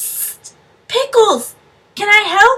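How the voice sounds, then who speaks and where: A woman does a squeaky, put-on character voice at an extremely high pitch. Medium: read story. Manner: eager.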